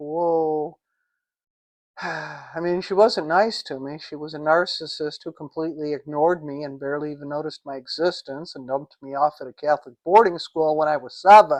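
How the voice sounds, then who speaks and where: A woman with an American accent speaks in a very deep, low voice with fairly even intonation. The background is quiet. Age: 60s. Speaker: vlogger. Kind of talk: casual monologue.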